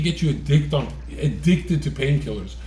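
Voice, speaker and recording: With noticeable background noise and audible room echo, a man is talking. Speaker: streamer. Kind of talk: casual chat. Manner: animated.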